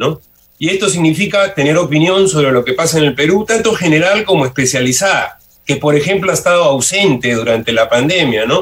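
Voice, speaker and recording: A man's plain, everyday voice, fairly high in pitch, at a fairly quick pace with lively intonation and very even loudness. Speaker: sociology professor and university rector candidate. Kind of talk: radio interview.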